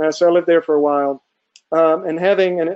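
This man has an American accent and a fairly high pitch for a man. He talks fast with fairly even intonation and a slightly mellow tone.

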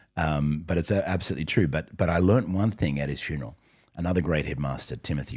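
Someone with an Australian accent speaks at a fairly quick pace with ordinary pitch variation, amid noticeable background noise. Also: man. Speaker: entrepreneur and gang pastor. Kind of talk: interview.

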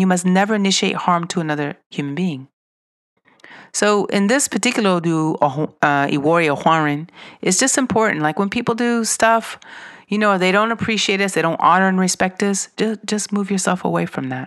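A woman with an American accent speaks in a plain, everyday voice at medium pitch and a fairly quick pace, with lively intonation against a quiet background. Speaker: spiritual teacher and podcast host. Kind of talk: teaching monologue. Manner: casual, with fillers and restarts.

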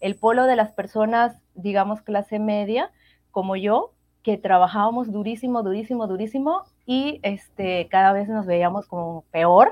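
This woman has a normal speaking voice of medium pitch. She talks at a fairly slow pace with ordinary pitch variation. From Venezuela. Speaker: medical doctor. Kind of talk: interview.

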